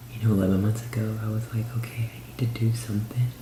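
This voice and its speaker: A man whispers over noticeable background noise. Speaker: ASMR YouTuber. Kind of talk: ASMR whispered personal story; casual talk to camera. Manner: whispered.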